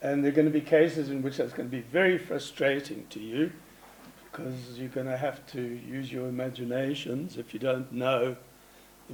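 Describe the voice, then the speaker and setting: Over noticeable background noise, a man talks at a moderate pace in a medium pitch with fairly even intonation. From South Africa, Johannesburg. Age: 70s. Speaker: artist and curator. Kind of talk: conference presentation. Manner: conversational, informal.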